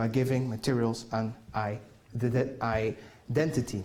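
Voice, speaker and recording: A man speaks with a Dutch accent, his voice somewhat breathy. Audible room echo surrounds him. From Netherlands. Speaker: conference keynote speaker. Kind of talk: keynote talk. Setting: conference hall with audience. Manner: halting, many fillers.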